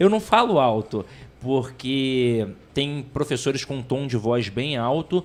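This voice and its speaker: A man's medium-pitched voice carries lively intonation while he talks very slowly. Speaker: teacher, podcast co-host. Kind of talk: casual chat. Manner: soft-spoken; even, steady tone.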